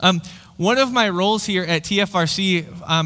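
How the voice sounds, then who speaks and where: A bright, sharp tone belongs to a man. Nothing much stirs in the quiet background. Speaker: pastor. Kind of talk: sermon. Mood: light, friendly, humorous. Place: church. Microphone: headset.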